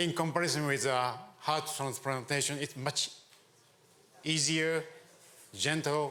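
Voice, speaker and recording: Fairly high in pitch for a man, this male voice moves at a fairly slow pace amid audible room echo. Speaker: venture capitalist and government adviser. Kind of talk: conference talk.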